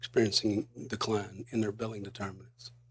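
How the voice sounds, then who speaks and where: A man speaks at a moderate pace in a fairly low, flat monotone with vocal fry. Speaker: regulatory staff witness. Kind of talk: witness testimony. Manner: halting; polite. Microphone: too far from microphone at first.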